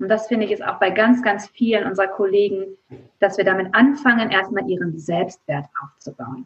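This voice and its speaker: A woman with an unremarkable speaking voice talks at a moderate pace, her medium pitch carried by lively intonation. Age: 30s. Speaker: occupational therapist and coach. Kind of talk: interview.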